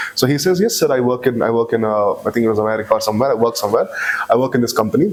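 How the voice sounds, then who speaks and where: Noticeable background noise sits under a man speaking in a Bangalore accent. He goes at a very fast pace with very even loudness. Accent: Bangalore Indian English. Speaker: podcast guest, engineering graduate. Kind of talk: casual chat. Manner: halting, with many restarts.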